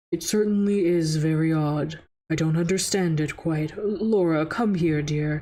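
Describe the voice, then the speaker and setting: The pace is moderate. The voice is a put-on character one. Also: woman, fairly low pitch for a woman. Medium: virtual streamer.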